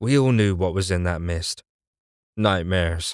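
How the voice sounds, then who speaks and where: A man with an unremarkable speaking voice, fairly even intonation and a moderate pace, in a very clean recording with a silent background and a dry, close sound with no echo. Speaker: voice actor / audiobook narrator. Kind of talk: audiobook narration, litrpg fantasy. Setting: studio recording. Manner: first-person storytelling, serious, tense.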